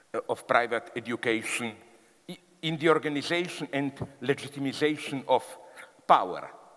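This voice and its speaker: Here a man speaks with a Slavic accent at a medium pitch. His pace is moderate, with ordinary pitch variation. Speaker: philosopher giving a public talk. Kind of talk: public lecture to a live audience.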